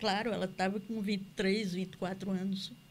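At a very slow pace, the speaker delivers words in a somewhat breathy voice. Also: woman. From Campina Grande, Paraíba, Brazil. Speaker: author and cultural producer. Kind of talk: interview. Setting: studio.

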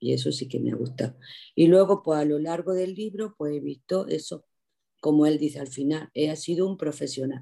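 With a very deep, low pitch and a dark, mellow tone, a woman speaks with ordinary pitch variation. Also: moderate pace. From Andalusia, Jaén province. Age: 60s. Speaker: retired teacher, library user. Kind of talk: casual chat.

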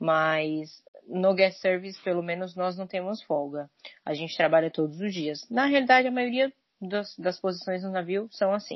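A woman's plain, everyday voice at medium pitch, with lively intonation and a moderate pace. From São Paulo state, Brazil (São Caetano do Sul). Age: 20s. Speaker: cruise ship crew member. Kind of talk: casual chat. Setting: remote call.

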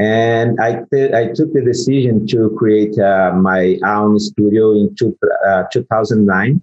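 A man with a Portuguese accent speaks at a very slow pace and a medium pitch. His loudness stays very even, and his pitch varies in an ordinary way. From Brazil. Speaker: photographer and retoucher. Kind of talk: interview. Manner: halting.

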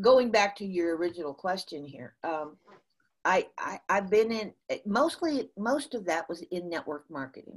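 With a Midwestern US accent, a woman speaks at a medium pitch, her voice making very wide pitch swings and big swings in loudness. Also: moderate pace. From US Midwest. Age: 60s. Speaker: motivational speaker and sales consultant. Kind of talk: casual interview, storytelling. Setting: remote call from the US. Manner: animated, laughs often.

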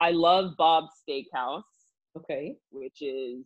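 A woman with an American accent. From Texas, Dallas suburb. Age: 20s. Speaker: professional volleyball player. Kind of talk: interview.

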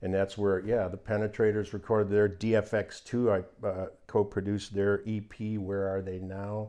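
A man with an American accent speaks in a monotone, flat intonation at a fairly low pitch and a moderate pace. His tone is dark and mellow, and the sound is dry with no echo against a quiet background. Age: 70s. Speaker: radio DJ. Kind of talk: casual chat.

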